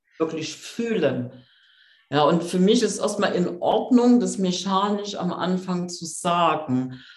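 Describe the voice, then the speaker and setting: With audible room echo around her, a woman speaks at a very slow pace and a fairly low pitch. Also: ordinary pitch variation. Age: 50s. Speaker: coach and author. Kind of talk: interview.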